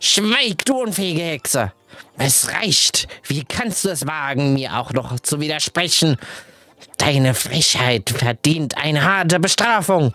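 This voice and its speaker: A shouted, put-on character voice at a middle pitch and a fairly slow pace. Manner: scolding, imperious, shouting.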